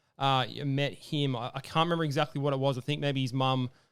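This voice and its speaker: Talking at a very fast pace, a man with an Australian accent keeps a monotone, flat intonation. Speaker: MMA podcast host. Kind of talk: casual chat. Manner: hesitant, many fillers.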